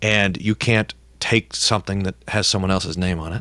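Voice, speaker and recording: On a very clean recording with a silent background and a dry, close sound with no echo, a man speaks fairly quickly in a plain, everyday voice, with a fairly low pitch and ordinary pitch variation. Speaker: pastor. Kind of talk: interview discussion.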